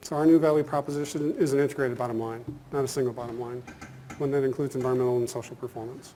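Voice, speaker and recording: Over noticeable background noise, a man talks at a very fast pace and a medium pitch. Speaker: business school professor. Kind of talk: conference lecture. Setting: conference hall with audience.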